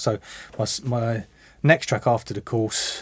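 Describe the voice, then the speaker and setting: Speaking at a medium pitch and a moderate pace, a man talks in a southern English accent. The recording is very clean, with a silent background. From London. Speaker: music production student and DJ. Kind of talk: interview. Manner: hesitant, many repetitions.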